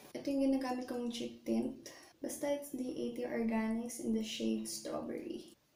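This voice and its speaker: Amid audible room echo, a woman speaks at a moderate pace. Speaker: beauty vlogger. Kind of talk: makeup tutorial. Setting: bathroom. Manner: soft-spoken. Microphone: echo in bathroom.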